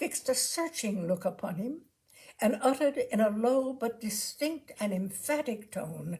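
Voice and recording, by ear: With lively intonation, someone is reading aloud in a natural voice.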